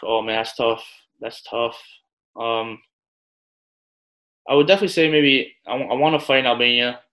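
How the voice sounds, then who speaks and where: Speaking at a moderate pace with long, frequent pauses, a man with a New York accent has a medium pitch, a bright, sharp tone and ordinary pitch variation. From New York, Staten Island. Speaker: professional boxer. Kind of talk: casual interview.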